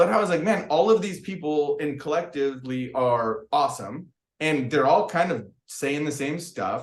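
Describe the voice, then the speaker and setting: In a room with audible echo, a man speaks at a moderate pace with a fairly high pitch. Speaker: crystal business owner. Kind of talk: podcast interview. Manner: loud; casual, rambling with many fillers.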